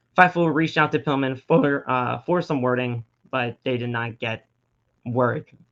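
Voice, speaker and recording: Over music in the background, a man speaks at medium pitch and a fairly slow pace, with ordinary pitch variation. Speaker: wrestling podcast host. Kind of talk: casual commentary. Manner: stuttering; halting.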